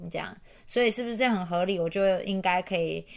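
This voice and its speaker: In a very clean recording with a silent background, a woman talks at a medium pitch with ordinary pitch variation, an ordinary speaking voice. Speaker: podcast host. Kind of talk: casual chat.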